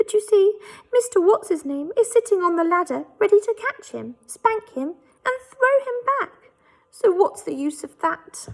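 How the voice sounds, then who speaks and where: Putting on a squeaky character voice, a woman speaks at an extremely high pitch. She keeps a moderate pace. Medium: read story.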